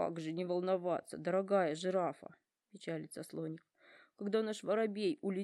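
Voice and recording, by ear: A quiet background behind a natural voice reading aloud, its pitch variation ordinary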